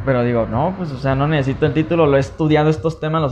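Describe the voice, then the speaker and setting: Somewhat breathy and fairly high in pitch, a man speaks at a very fast pace with ordinary pitch variation. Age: 30s. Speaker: podcast host. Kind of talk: casual chat.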